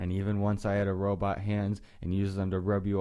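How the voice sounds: This is a natural reading voice. Nothing else is given.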